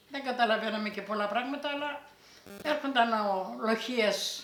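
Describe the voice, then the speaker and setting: A woman speaks with noticeable background noise. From Greece, Thessaly (Elassona area). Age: 80s+. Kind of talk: oral history interview answer.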